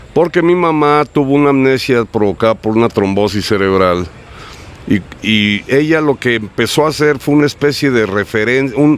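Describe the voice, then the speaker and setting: A man with a medium pitch speaks at a moderate pace. His intonation is lively, and background noise is noticeable. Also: very even loudness. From United States. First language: English (speaking Spanish). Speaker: writer and bookseller. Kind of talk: interview. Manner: animated.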